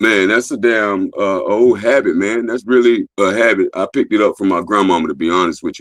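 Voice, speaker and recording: Fairly quick speech from a man with hardly any pauses, big swings in loudness and ordinary pitch variation. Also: fairly low pitch for a man. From US South (born New York). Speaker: livestreamer and clothing brand owner. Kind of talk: live stream interview. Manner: loud at times.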